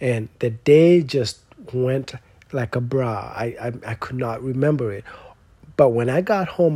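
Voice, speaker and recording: A somewhat breathy man at a medium pitch, with lively intonation and a fairly slow pace. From Kenya, village outside Nairobi. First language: Kenyan native tongue. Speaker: doctoral student. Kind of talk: personal storytelling talk. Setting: stage with audience.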